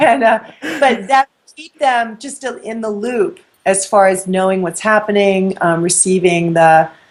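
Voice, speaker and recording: A woman with an American accent and a plain, everyday voice, at a medium pitch with ordinary pitch variation, a fairly slow pace and big swings in loudness. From New York. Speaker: spiritual teacher. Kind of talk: interview. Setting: web show interview.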